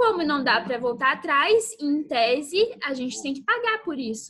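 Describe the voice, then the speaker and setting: A woman speaks in a raised, projected voice, high in pitch. Her tone is bright and sharp, at a fairly slow pace. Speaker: youth church speaker. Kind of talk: youth Bible talk. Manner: casual, conversational.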